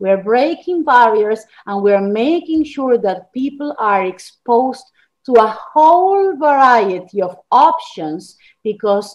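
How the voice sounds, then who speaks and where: A woman's fairly high voice in an Argentine accent, very slow, with very wide pitch swings. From Argentina. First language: Spanish. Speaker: journalist and author. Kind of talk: interview.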